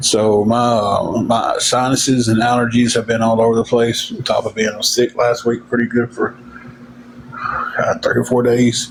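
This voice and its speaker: Over noticeable background noise, a man with a Southern US accent and medium pitch talks at a moderate pace with monotone, flat intonation. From Tennessee. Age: 40s. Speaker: livestreamer. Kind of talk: casual chat.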